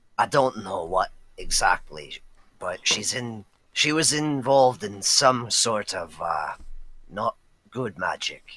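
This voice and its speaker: The speaker uses a put-on character voice. The delivery comes at a very slow pace. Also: man. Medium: actual play. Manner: earnest, gentle.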